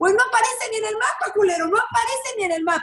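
A woman with a Mexican accent talks at a very fast pace in an animated tone. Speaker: lawyer and social media personality. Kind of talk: interview.

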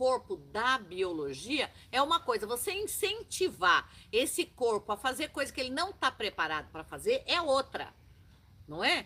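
Raising and projecting her voice, a woman sounds animated, high-pitched, bright and sharp, with very wide pitch swings. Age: 60s. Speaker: witch and show host. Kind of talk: casual chat.

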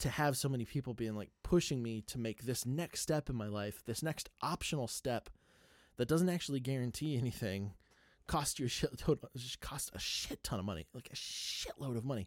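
A man at medium pitch with ordinary pitch variation and a moderate pace, dry and close with no echo, on a very clean recording with a silent background. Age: 30s. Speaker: podcast host and photographer. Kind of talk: casual monologue. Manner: hesitant, many fillers.

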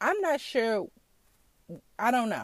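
Lively intonation and an animated tone mark this woman's fairly slow speech, recorded dry and close with no echo. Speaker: podcast host. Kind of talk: casual monologue. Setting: in a car.

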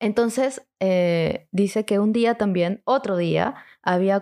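A woman has an ordinary speaking voice at medium pitch. Her pitch varies in an ordinary way over a quiet background. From Lima, Peru. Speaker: audiovisual communicator. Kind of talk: storytelling.

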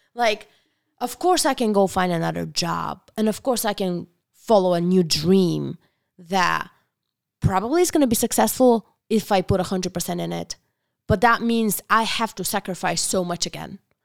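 Using a Bulgarian accent, a woman speaks at medium pitch and a moderate pace in an animated tone, in a very clean recording with a silent background and a dry, close sound with no echo. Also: ordinary pitch variation. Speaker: restaurant owner. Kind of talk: casual chat.

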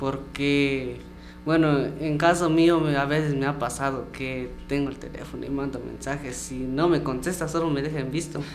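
With a fairly high pitch and flat, monotone intonation, a man speaks at a fairly slow pace amid noticeable background noise and audible room echo. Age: young. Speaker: musician. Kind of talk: interview.

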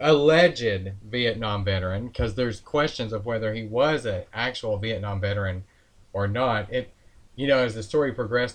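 An unremarkable speaking voice belongs to this man. His pitch is medium with ordinary variation. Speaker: podcast co-host, political commentator. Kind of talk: casual political commentary podcast.

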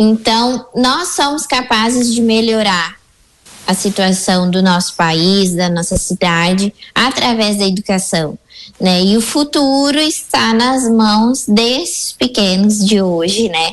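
A woman speaks at a very slow pace in a fairly high pitch. Her intonation is lively while her loudness stays very even. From Rio Grande do Sul, Brazil. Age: 20s. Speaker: preschool teacher. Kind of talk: radio interview. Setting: radio studio.

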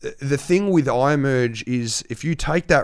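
With an Australian accent, a man speaks at a medium pitch with ordinary variation on a very clean recording with a silent background. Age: young. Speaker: turntablist DJ. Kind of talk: casual chat.

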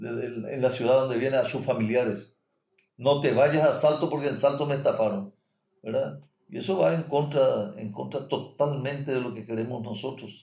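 This man has a dark, mellow tone at medium pitch, with ordinary pitch variation. He speaks at a moderate pace and sounds somewhat breathy. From Paraguay. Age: 70s. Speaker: doctor and mayoral candidate. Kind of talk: interview.

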